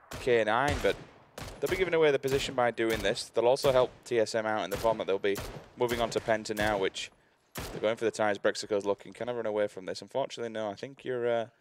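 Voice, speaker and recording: A man's very fast speech at medium pitch, with ordinary pitch variation and a dry, close sound free of echo. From northern England. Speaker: esports caster. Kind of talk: live commentary. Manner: animated.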